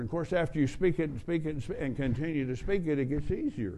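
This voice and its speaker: At a very fast pace, the voice has a dark, mellow tone and ordinary pitch variation. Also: man. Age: 70s. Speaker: traveling preacher. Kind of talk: sermon. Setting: church with audience.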